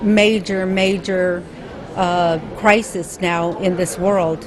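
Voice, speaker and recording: A woman's medium-pitched voice, fairly even in intonation, is heard over noticeable background noise. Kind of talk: conference speech.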